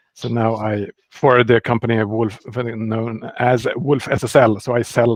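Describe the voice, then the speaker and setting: A man with a fairly low pitch talks with a Swedish accent. His voice sounds dry and close with no echo over a quiet background. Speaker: software developer. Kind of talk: interview.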